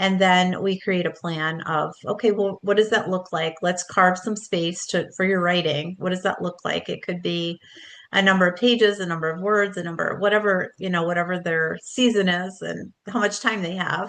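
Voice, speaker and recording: At a moderate pace, a woman speaks at a medium pitch with fairly even intonation and an unremarkable speaking voice. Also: hardly any pauses. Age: 60s. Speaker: book coach and author. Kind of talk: casual interview chat. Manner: warm, conversational with fillers.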